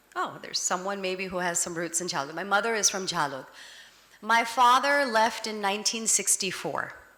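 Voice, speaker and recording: The pace is moderate and the pitch variation ordinary. Noticeable background noise can be heard. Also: woman, medium pitch for a woman. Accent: American. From United States. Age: 50s. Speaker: advocacy organization director. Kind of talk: public talk.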